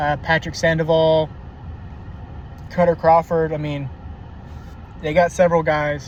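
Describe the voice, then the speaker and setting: The speaker talks with an American accent at a fairly slow pace in a monotone, flat intonation. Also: man, fairly high pitch for a man. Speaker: baseball commentator. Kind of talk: casual monologue. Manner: halting, many fillers.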